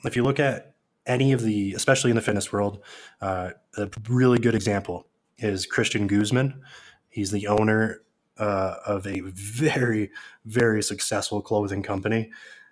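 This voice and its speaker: A plain, everyday voice from a man with an American accent, fairly low in pitch, at a moderate pace with fairly even intonation, on a very clean recording with a silent background. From northern New York State. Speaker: online seller and fitness trainer. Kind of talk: interview.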